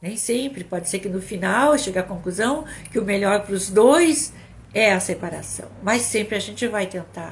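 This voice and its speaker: A woman speaks at a moderate pace in a medium pitch. Her voice is somewhat breathy, with lively intonation. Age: 60s. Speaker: psychologist and couples therapist. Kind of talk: live stream talk. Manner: halting, repeats words.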